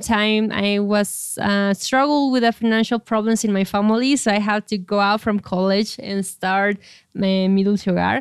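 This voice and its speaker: On a very clean recording with a silent background, a woman with a fairly high voice and a Spanish accent speaks at a moderate pace with fairly even intonation. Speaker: startup founder and CEO. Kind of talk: interview.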